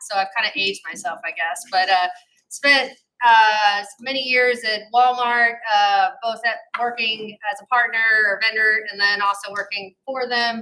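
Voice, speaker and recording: A woman with an American accent talks at a fairly slow pace with fairly even intonation. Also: fairly high pitch for a woman. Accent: slight twang from Ohio and Arkansas. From US Midwest, Ohio. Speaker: corporate security executive. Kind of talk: panel discussion.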